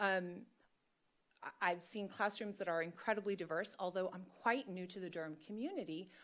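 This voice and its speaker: The voice belongs to a woman. She talks at a moderate pace. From North Carolina. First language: Spanish. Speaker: school board candidate. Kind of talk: public statement. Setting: board meeting.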